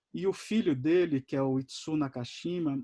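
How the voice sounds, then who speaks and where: The sound is dry and close, with no echo. A man with a fairly high pitch speaks at a fairly slow pace. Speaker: animator giving a masterclass. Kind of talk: lecture. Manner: halting, many fillers and repetitions.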